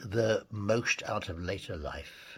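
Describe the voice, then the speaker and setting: This is a man's voice. It carries vocal fry. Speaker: podcast host. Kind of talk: podcast interview host.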